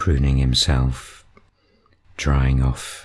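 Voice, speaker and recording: A man's very deep, low-pitched voice in a calm, relaxed tone. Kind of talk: nature video commentary.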